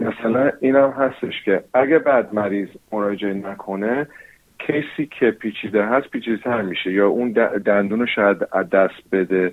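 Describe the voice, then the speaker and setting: In an English accent, a man talks at a fairly low pitch. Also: ordinary pitch variation, moderate pace. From New Zealand. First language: English (speaking Persian). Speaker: dentist. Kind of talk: interview. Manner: halting.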